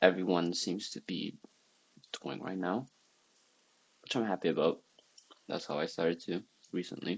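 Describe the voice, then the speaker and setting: A quiet man with a non-native accent, very deep, low pitch, and long, frequent pauses. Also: ordinary pitch variation, moderate pace. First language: not English. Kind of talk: casual talk to camera.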